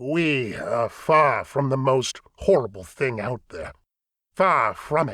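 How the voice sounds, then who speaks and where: In a raspy, put-on character voice, a man speaks at medium pitch. His pace is fairly slow and his intonation lively. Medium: read story. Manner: grave, formal.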